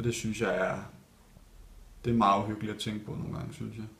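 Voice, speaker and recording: In audible room echo, a man speaks quickly enough, at a fairly low pitch with monotone, flat intonation. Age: 20s. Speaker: ballet dancer. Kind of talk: interview. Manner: hesitant, many fillers.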